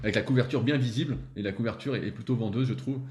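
A man's very fast voice at a medium pitch, with a dark, mellow tone and vocal fry. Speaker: strength training coach. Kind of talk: casual interview.

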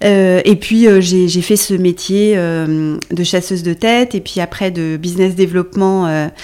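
The woman's voice has a dark, mellow tone, a medium pitch and ordinary pitch variation. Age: 40s. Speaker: recruitment firm founder and CEO. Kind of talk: interview conversation. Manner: hesitant, many fillers.

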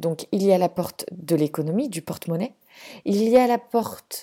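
The recording is very clean, with a silent background. A woman at medium pitch speaks at a fairly slow pace in a dark, mellow tone with lively intonation. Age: 30s. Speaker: podcast host, zero-waste family blogger. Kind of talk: solo podcast monologue.

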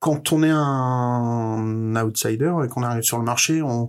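The man's pitch is medium and his intonation fairly even. He talks at a very slow pace. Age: 40s. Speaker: head of recruitment at a video game startup. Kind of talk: interview. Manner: halting, repeated words.

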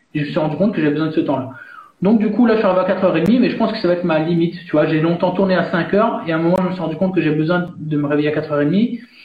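A man's high-pitched speech at a very fast pace with ordinary pitch variation, amid noticeable background noise and audible room echo. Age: 30s. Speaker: coach and author. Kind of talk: interview.

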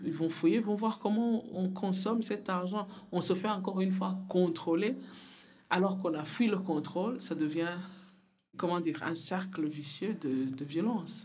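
Audible room echo surrounds a woman's somewhat breathy, medium-pitched voice. She speaks fairly slowly with ordinary pitch variation. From Burundi. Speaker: community worker at a women's association. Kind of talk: interview testimony. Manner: halting, repeats words.

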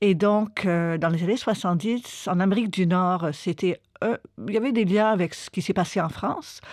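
Here a woman speaks at a fairly slow pace in a medium pitch with ordinary variation. The recording is very clean, with a silent background. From Quebec, Montreal. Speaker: linguist and anthropologist. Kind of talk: interview about her book. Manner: hesitant with fillers.

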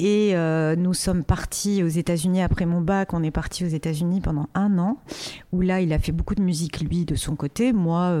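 Over noticeable background noise, a woman talks at a fairly slow pace, her fairly low pitch showing ordinary variation. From Morocco, Casablanca. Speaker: music artist manager. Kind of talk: interview. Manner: hesitant, many fillers.

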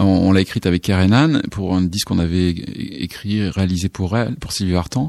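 This man speaks with a very deep, low pitch and hardly any pauses. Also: ordinary pitch variation, moderate pace. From southwestern France, near Saint-Émilion. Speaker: songwriter and singer. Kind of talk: radio interview. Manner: halting, many repetitions and fillers.

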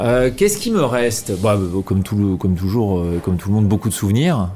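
Over noticeable background noise, a man with a fairly low pitch speaks at a fairly slow pace with ordinary pitch variation. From Bordeaux, France. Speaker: mayoral candidate, politician. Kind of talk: casual interview over drinks. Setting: bar with small group. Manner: hesitant, many fillers.

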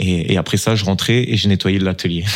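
A fairly quick pace from a man with a very deep, low pitch. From southern France, Toulon. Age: 20s. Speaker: professional footballer. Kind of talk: interview.

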